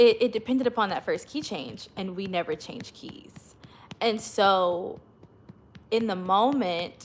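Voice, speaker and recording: An American accent at a fairly slow pace, with big swings in loudness. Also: woman, fairly high pitch for a woman, ordinary pitch variation. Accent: slight country. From Oklahoma. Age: 30s. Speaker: worship leader and channel host. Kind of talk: casual livestream story time.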